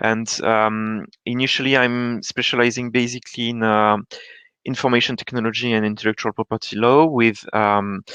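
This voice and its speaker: A man at a medium pitch with a bright, sharp tone and monotone, flat intonation, at a moderate pace, in a dry, close sound with no echo and a quiet background. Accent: French. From France. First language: French. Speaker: data protection consultant. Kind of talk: panel discussion. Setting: online webinar.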